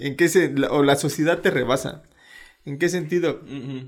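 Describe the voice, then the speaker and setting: The speaker is a man with a Mexican accent. He talks at a fairly high pitch. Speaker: podcast co-host. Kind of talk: casual chat.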